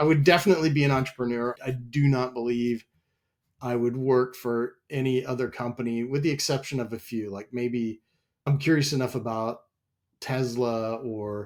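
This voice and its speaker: Here a man talks at a moderate pace with a medium pitch and fairly even intonation. The recording is very clean, with a silent background. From US Midwest, Wichita, Kansas. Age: 50s. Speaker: software company president. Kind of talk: interview.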